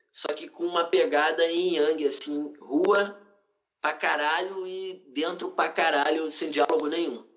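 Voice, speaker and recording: A man with a fairly high voice speaks fairly slowly, his pitch varying in an ordinary way. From Brazil, Rio de Janeiro. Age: 30s. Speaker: writer and cultural activist. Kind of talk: casual interview. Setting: remote call.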